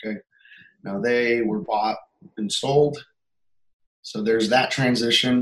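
A man with an American accent talks at a fairly slow pace and medium pitch, with ordinary pitch variation and long, frequent pauses. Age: 30s. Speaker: musician and videographer. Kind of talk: coaching session. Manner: halting.

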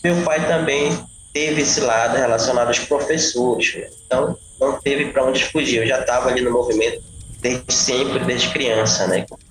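With noticeable background noise behind him, a man with a fairly high pitch talks at a moderate pace and ordinary pitch variation. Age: 30s. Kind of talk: interview.

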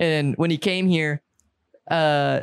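The sound is dry and close with no echo as a man talks with a Southern US accent. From US South. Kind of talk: casual chat.

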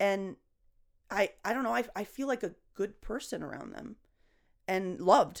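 A woman at medium pitch, with lively intonation, vocal fry, big swings in loudness, and long, frequent pauses. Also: moderate pace. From Venezuela. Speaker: comedian. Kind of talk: casual chat.

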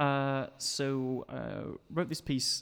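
With a Yorkshire accent, a man speaks at a medium pitch. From Sheffield, northern England. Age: 20s. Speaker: university student. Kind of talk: interview. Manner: halting.

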